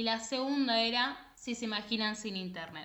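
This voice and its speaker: A woman's voice with audible room echo. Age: 20s. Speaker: podcast co-host. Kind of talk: casual chat.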